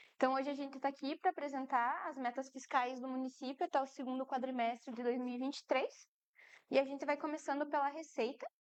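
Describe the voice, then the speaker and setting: A soft-spoken woman with a high pitch speaks at a very fast pace in a monotone, flat intonation. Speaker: municipal finance official. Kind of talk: public fiscal report presentation.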